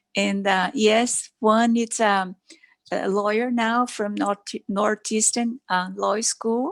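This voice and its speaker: In a Brazilian Portuguese accent, a woman with a fairly high pitch speaks at a very slow pace with monotone, flat intonation, in a dry, close sound with no echo. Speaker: doctor. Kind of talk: talk to a club meeting. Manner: halting.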